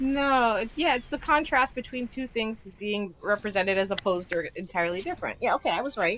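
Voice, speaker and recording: Her pitch fairly high and her intonation lively, a woman talks at a fairly quick pace with hardly any pauses. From US South, Miami. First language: Spanish and Haitian Creole. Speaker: gaming streamer. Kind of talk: casual chat. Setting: live stream.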